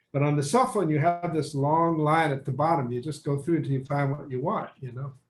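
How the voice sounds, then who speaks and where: A man speaks at a fairly quick pace in a fairly high, somewhat breathy voice. His pitch varies in an ordinary way. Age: 70s. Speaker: photographer. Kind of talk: casual chat.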